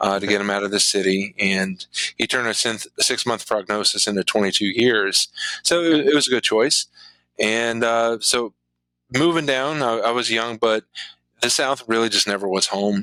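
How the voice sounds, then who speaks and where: This man talks at a moderate pace in a medium pitch, with ordinary pitch movement, a bright, sharp tone, and a dry, close sound without echo. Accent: American. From southwestern Virginia, Appalachia. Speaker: comedian and ministry worker. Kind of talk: interview.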